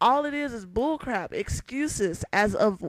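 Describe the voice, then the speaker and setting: A woman speaks loudly. Her pitch is fairly high. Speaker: vlogger. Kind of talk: vlog rant.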